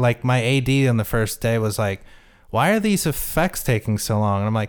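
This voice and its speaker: A man with a plain, everyday voice at medium pitch, on a very clean recording with a silent background. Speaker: film director. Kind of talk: casual interview chat.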